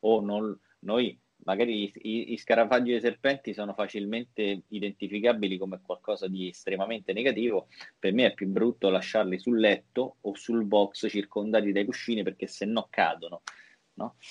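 A man talks in a plain, everyday voice with fairly even intonation. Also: fairly low pitch for a man, moderate pace. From Italy. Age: 40s. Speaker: physiotherapist and trainer. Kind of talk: interview.

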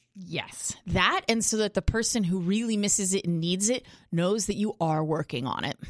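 Recorded dry and close with no echo, a woman with an unremarkable speaking voice talks at a moderate pace, her medium pitch showing ordinary variation. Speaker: doctor co-host. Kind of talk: casual chat. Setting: studio.

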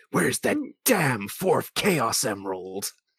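A man puts on a gruff, growling character voice at a medium pitch. He talks at a fairly slow pace. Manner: gruff, intense.

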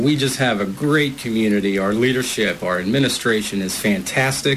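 At a fairly quick pace and mid-range pitch, a man talks with ordinary pitch variation as noticeable background noise carries on. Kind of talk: halftime interview. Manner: hesitant with filler words.

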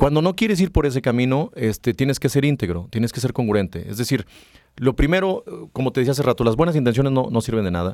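Against a very clean recording with a silent background, a man of medium pitch talks at a very fast pace with lively intonation. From Mexico, rural Aguascalientes (Rincón de Romos). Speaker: business executive. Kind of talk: interview. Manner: halting, many fillers.

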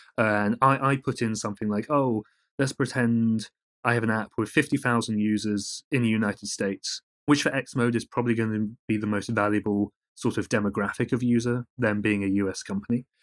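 A man with a medium pitch speaks in a British accent at a fairly quick pace, with fairly even intonation. The recording is very clean with a silent background and a dry, close sound with no echo. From Britain. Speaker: journalist. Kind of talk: interview.

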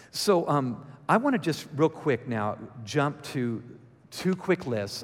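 A man talks in an ordinary speaking voice at a medium pitch. His intonation is lively. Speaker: guest speaker at church. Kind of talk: sermon. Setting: church with audience.

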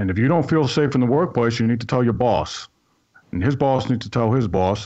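A medium-pitched man with an American accent, at a fairly quick pace with ordinary pitch variation. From New York City (Staten Island). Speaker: workplace security consultant, retired army sergeant major. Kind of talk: radio talk show conversation. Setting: live radio broadcast.

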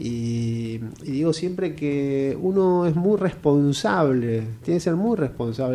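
This man talks fairly slowly with lively intonation and a dark, mellow tone. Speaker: theatre director and journalist. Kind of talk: interview.

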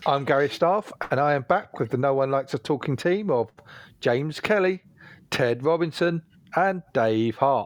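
A man speaks in a normal speaking voice, fairly high in pitch, at a moderate pace with lively intonation. His loudness stays very even, and the sound is dry and close with no echo. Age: 40s. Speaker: podcast host. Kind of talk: casual chat.

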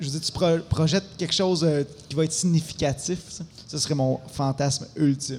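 A man's somewhat breathy, fairly high-pitched voice in a Quebec accent, at a fairly quick pace with fairly even intonation and long, frequent pauses. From Quebec, Abitibi-Témiscamingue. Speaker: musician. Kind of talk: casual chat.

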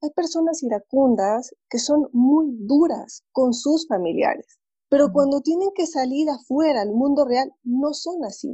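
Her pitch high and her intonation lively, a woman speaks at a fairly slow pace with hardly any pauses. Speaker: psychologist and therapist. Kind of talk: casual interview. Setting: video call.

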